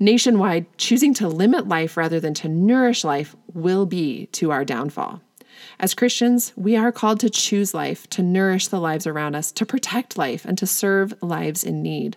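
A woman with an unremarkable speaking voice talks at a moderate pace and a medium pitch, with lively intonation. The recording is very clean, with a silent background. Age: 40s. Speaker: podcast host. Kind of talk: solo commentary podcast, scripted. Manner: measured, scripted delivery.

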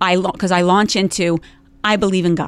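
A woman speaks at a fairly quick pace with a New Jersey accent. Her pitch sits in the medium range. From US Northeast (New Jersey). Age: 50s. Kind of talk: casual interview. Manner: animated.

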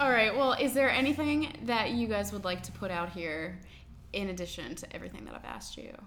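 A woman speaks fairly quickly at a medium pitch, with vocal fry in her voice. Her intonation is lively and her loudness swings widely. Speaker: podcast host. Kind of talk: casual interview chat.

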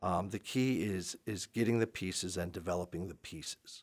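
A plain, everyday voice from a man with fairly low pitch and ordinary pitch variation. The recording is very clean, with a silent background. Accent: American. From Maryland, Montgomery County. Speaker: high school lacrosse coach and history teacher. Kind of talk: podcast interview.

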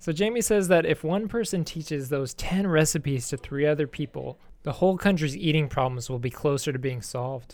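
A man with an unremarkable speaking voice talks at a fairly high pitch and a fairly slow pace, with lively intonation and hardly any pauses. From Texas. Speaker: English teacher and communication consultant. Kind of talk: reading aloud; casual chat.

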